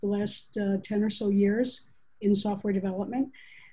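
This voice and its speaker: A somewhat breathy woman, fairly high in pitch, at a moderate pace over a quiet background. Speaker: agile consultant and author. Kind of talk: panel presentation. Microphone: video call.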